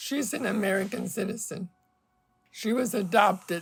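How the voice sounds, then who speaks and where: A woman speaks in a medium pitch at a fairly slow pace. Her voice is somewhat breathy. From Mexico. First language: Spanish. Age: 70s. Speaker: polio survivor. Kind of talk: interview testimony.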